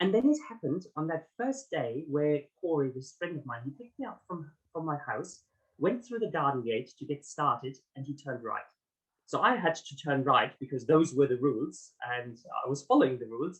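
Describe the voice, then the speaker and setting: Somewhat breathy, a man speaks at a moderate pace and fairly high pitch, his intonation lively and his loudness swinging widely. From Germany. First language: German. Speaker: author and executive coach. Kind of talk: interview. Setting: podcast.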